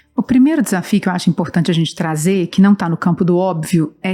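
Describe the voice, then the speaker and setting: Over music in the background, a woman with a strong Minas Gerais accent speaks at a medium pitch with ordinary pitch variation. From Brazil, Belo Horizonte (Minas Gerais). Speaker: nonprofit director and professor. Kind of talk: interview.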